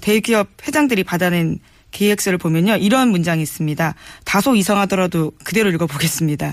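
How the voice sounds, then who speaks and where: This woman has a normal speaking voice at medium pitch and lively intonation. She talks at a fairly quick pace with very even loudness. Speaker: journalist. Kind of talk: news briefing.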